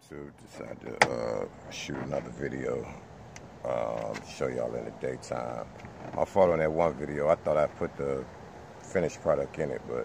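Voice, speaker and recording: There is noticeable background noise behind this voice. A man speaks at a moderate pace. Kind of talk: casual vlog chat. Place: car. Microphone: phone near.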